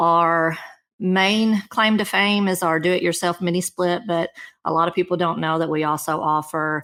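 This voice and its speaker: With a slight Kentucky accent, a woman speaks at a fairly low pitch and a moderate pace with fairly even intonation in a very clean recording against a silent background. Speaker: marketing director. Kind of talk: interview.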